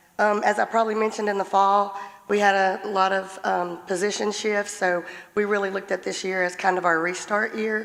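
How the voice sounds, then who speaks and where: The delivery is monotone, with flat intonation and a fairly quick pace. Noticeable background noise runs underneath. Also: woman. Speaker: school administrator presenting to school board. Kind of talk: formal presentation to board. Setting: school board meeting.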